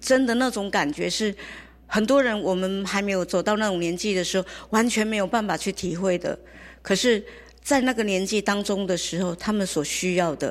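A woman in an unremarkable speaking voice, medium pitch, ordinary pitch variation and moderate pace, against a quiet background. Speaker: community elder-care organizer. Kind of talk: interview.

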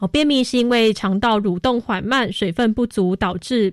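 In a very clean recording with a silent background, a woman speaks in an ordinary speaking voice at a fairly high pitch and a fairly slow pace, with lively intonation. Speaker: radio host. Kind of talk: scripted narration; radio talk show.

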